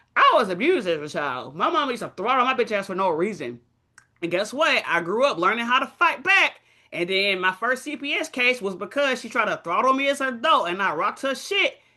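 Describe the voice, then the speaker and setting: Over a quiet background, a woman talks at a fairly quick pace in an animated, bright, sharp tone, fairly high in pitch with very wide pitch swings. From Dallas, Texas. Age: 30s. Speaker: trading streamer. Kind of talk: casual chat.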